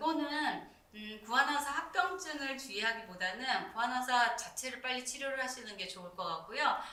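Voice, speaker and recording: Amid noticeable background noise and audible room echo, a woman speaks with a high, shrill pitch, lively intonation, big swings in loudness and hardly any pauses. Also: moderate pace. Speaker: Korean medicine doctor. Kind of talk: live-stream consultation answer. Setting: YouTube live stream. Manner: conversational, explanatory.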